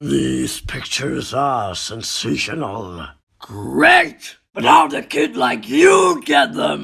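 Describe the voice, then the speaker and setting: This is a put-on character voice, raspy throughout. It moves at a very slow pace. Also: man. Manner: brash, shouting.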